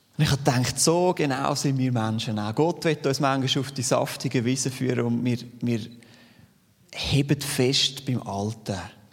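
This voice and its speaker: The speaker has a Zurich accent. The pace is moderate, and the pitch varies in an ordinary way. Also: man, medium pitch for a man. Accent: Swiss German (Zürich). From Switzerland, Zürich Unterland. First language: Swiss German (speaking German). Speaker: lay preacher. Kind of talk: sermon.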